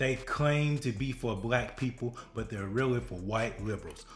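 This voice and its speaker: Over background music, a man speaks at a fairly slow pace. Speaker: political and religious commentator. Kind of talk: reaction commentary to camera.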